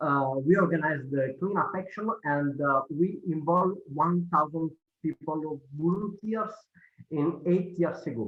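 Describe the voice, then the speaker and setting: A man talks with an Italian accent. His pitch is fairly high. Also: ordinary pitch variation, fairly slow pace. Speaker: cleanup organization leader. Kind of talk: presentation. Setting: video call. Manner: halting.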